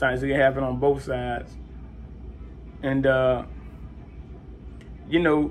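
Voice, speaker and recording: Long, frequent pauses break up speech at a moderate pace, with audible room echo around it. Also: man. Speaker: vlogger sharing seizure experience. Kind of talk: casual personal story. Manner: halting, with repetitions and fillers.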